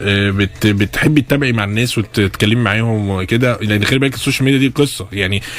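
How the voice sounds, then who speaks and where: A man's fairly low voice at a fairly quick pace, hardly any pauses and fairly even intonation, amid noticeable background noise. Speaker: radio host. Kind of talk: radio interview hosting. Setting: studio. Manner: casual, joking.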